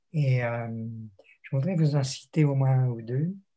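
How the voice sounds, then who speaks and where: Somewhat breathy, a man speaks at a medium pitch in a dark, mellow tone with fairly even intonation. The recording is very clean, with a silent background. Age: 80s+. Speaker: theologian and retired lecturer. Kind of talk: interview. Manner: reflective, with hesitations.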